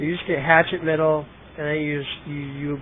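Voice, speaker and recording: There is noticeable background noise as a man speaks. His pitch is fairly high and his pace moderate. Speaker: game commentator. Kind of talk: live commentary. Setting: livestream, headset. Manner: loud; casual, animated.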